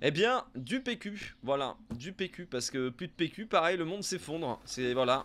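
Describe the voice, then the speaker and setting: With a slight southern French accent, a man with a high pitch talks at a fairly slow pace, with very wide pitch swings and hardly any pauses, over light background noise. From southern France (Montpellier area); southern France. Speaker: gaming YouTuber; gaming youtuber. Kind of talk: let's play commentary; gameplay commentary. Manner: casual, hesitant with many fillers. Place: home room.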